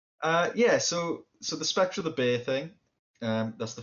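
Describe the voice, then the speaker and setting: Speaking with a Cardiff accent, a man talks at a fairly slow pace, his pitch swinging very widely. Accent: Welsh (Cardiff). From Wales, Cardiff. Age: 30s. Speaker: cartoonist and game designer. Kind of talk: casual chat.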